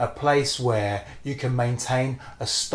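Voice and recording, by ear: A natural voice, reading aloud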